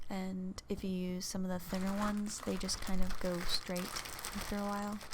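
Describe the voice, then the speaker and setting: Soft-spoken and in monotone, flat intonation, a woman talks over noticeable background noise. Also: medium pitch for a woman, moderate pace. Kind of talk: casual chatty ASMR talk to camera. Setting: close microphone recording, home. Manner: soft-spoken, chatty.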